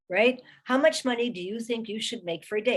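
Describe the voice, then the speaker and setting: This woman has a normal speaking voice, pitched fairly high. She speaks at a moderate pace. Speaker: recruiting specialist and career strategist, author. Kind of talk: webinar presentation. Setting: online webinar.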